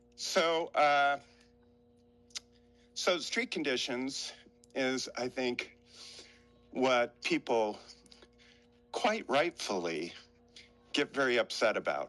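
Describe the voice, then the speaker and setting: A man speaks at a very slow pace with long, frequent pauses, over music in the background. His medium-pitched voice has lively intonation. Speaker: homelessness oversight commissioner. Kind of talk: interview conversation. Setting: outdoors on a hilltop bench, remote call.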